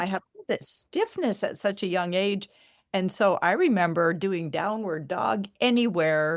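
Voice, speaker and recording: In a very clean recording with a silent background, a woman uses an ordinary speaking voice at medium pitch and a fairly slow pace, with ordinary pitch variation. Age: 60s. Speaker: spiritual coach and energy healer. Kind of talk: casual interview chat.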